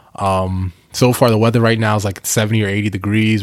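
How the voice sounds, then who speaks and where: A man's fairly low, monotone, flat voice with an American accent at a very fast pace, over noticeable background noise. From Northeast US, Bronx New York then New Jersey and Delaware. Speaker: podcast host, tech entrepreneur. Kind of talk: casual solo monologue. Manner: casual, filler-heavy with profanity.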